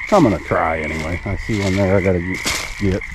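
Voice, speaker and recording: A man is speaking. The sound is dry with no echo, but background noise is noticeable. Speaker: homesteader vlogger. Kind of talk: casual vlog chat. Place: open country. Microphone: phone near.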